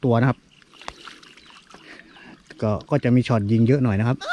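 A man's voice, dry with no echo. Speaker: spearfishing vlogger. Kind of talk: casual vlog chat. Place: waterside. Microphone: phone near.

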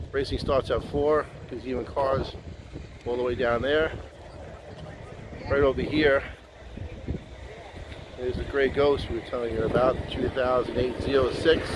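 A man speaks at a fairly slow pace with long, frequent pauses, the sound dry with no echo and noticeable background noise behind him. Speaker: car enthusiast vlogger. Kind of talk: casual vlog chat. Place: open country. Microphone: phone near.

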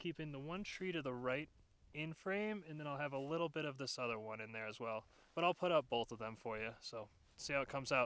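A man talks at a very fast pace in a dry sound with no echo. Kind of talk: casual vlog chat. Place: open country.

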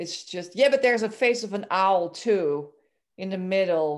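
Against a quiet background, a woman speaks with a Dutch accent and ordinary pitch variation. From Belgium, Antwerp; Belgium. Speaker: amateur photographer, club member. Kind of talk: photo presentation. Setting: video call. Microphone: video call.

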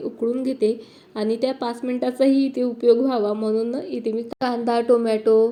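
A woman speaks with a high pitch and a dark, mellow tone. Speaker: family vlogger. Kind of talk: vlog narration. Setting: at home.

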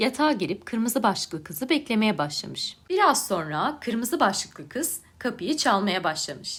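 Plain reading aloud is all the recording holds.

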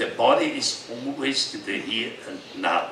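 A man's voice carries audible room echo. Light background noise sits underneath. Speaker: yoga teacher. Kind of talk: speech to an audience with Q&A. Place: stage.

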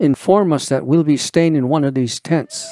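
With music in the background, a man speaks at a moderate pace in a dry, close sound with no echo. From Navajo reservation, Arizona. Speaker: storyteller. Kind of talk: personal life story, interview answer.

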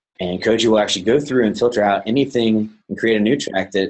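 A man with an American accent and an unremarkable speaking voice, fairly low in pitch, with fairly even intonation. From US South (Georgia). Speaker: plant scientist and bioinformatics presenter; presenter. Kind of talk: webinar software demonstration. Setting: online webinar.

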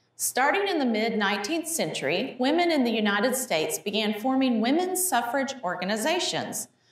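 A high-pitched woman talks at a moderate pace with hardly any pauses, her loudness very even while her pitch swings very widely. Noticeable background noise sits behind her. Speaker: museum educator. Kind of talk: educational gallery talk. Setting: museum hallway.

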